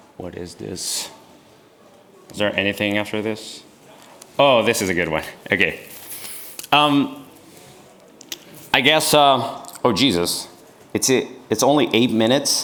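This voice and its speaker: Pausing long and often, a man with a medium pitch speaks at a fairly slow pace with lively intonation. Audible room echo surrounds his voice. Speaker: YouTuber and engineering maker. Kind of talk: conference talk with Q&A. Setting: stage with audience.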